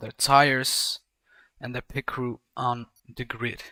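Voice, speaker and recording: Recorded with a dry, close sound and no echo, a man speaks with a Dutch accent. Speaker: sim racing commentator. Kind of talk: live commentary. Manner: halting, frequent repetitions.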